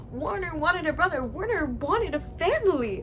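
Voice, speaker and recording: An animated woman at a fairly quick pace, with very wide pitch swings and noticeable background noise. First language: Spanish. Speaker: booktuber. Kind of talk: casual review monologue.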